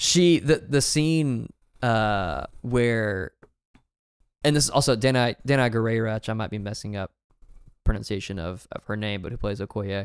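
A man with an American accent and an unremarkable speaking voice talks at a moderate pace and medium pitch with ordinary pitch variation and big swings in loudness, recorded very cleanly against a silent background with a dry, close sound and no echo. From US South. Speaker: film podcast co-host. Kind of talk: casual chat.

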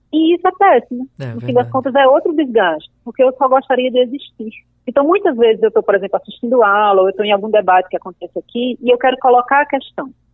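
With a slight northeastern Brazilian accent, a woman speaks at a very fast pace with hardly any pauses, using a high pitch and lively intonation. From Paraíba, Brazil (Northeast). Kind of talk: interview.

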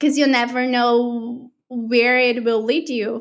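A very slow delivery in a Portuguese accent. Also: woman. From Brazil. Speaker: artist and creative mentor. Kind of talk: casual interview chat.

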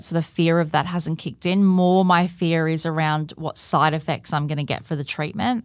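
A woman with an Australian accent at a moderate pace, in a very clean recording with a silent background. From Australia, Gold Coast. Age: 30s. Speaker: podcast producer and cancer patient. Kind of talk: interview, personal testimony. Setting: studio.

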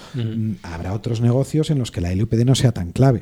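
A man speaks at a fairly quick pace with lively intonation and a medium pitch. His voice is somewhat breathy, with a dark, mellow tone. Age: 40s. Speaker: lawyer advising startups and investors. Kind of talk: casual chat.

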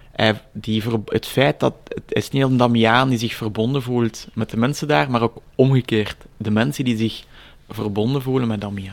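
At a moderate pace, a man with a Flemish accent speaks at medium pitch with ordinary pitch variation. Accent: Flemish Dutch. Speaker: project leader at a religious heritage centre and author. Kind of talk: interview. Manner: halting.

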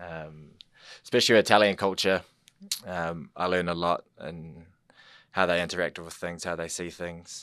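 Speaking with a New Zealand accent, a man keeps a monotone, flat intonation at a very deep, low pitch. His loudness swings widely, broken by long, frequent pauses. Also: quiet background. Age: 30s. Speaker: school liaison officer. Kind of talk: casual interview chat.

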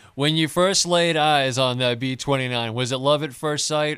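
This man has an ordinary speaking voice. He keeps a moderate pace, and his pitch varies in an ordinary way. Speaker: radio announcer and co-host. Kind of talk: radio interview. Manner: formal.

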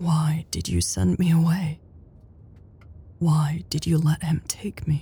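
A woman puts on a soft-spoken character voice, low in pitch with a dark, mellow tone and a husky, rough edge. She speaks slowly, with little pitch movement.

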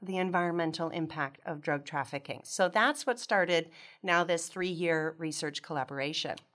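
Moderate in pace, the speaker has a plain, everyday voice. The recording is very clean, with a silent background. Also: woman. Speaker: geography professor. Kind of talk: interview.

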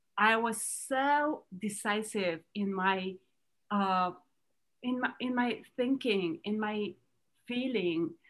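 Speech in a Romanian accent moves at a very slow pace with ordinary pitch variation. Long, frequent pauses break it up. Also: woman, fairly high pitch for a woman. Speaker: entrepreneur. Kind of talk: interview. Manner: halting.

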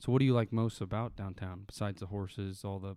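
Speaking at a very fast pace, a man with an American accent has a fairly low pitch. His intonation stays fairly even. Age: 20s. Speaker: podcast host. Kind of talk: casual interview. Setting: studio.

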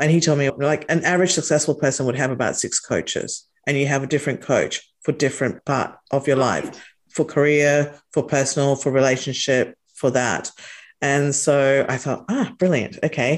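Speaking with an Australian accent, a woman with a very deep, low pitch keeps her intonation fairly even and her loudness very even, with hardly any pauses. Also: moderate pace. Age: 40s. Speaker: entrepreneur and company founder. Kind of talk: interview conversation.

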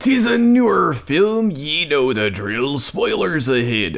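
Using a put-on character voice, a man talks fairly slowly at a fairly high pitch. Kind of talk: comic pirate impression. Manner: gruff, theatrical.

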